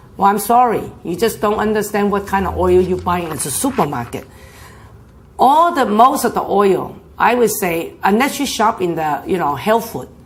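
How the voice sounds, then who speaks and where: A woman with a medium-pitched voice and vocal fry makes very wide pitch swings, with audible room echo around her. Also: moderate pace. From China. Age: 60s. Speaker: health talk presenter. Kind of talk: health talk.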